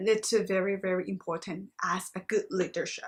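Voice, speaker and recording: In a Thai accent, a woman talks at a moderate pace. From Thailand. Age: 20s. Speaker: master's student. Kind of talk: reflective video monologue.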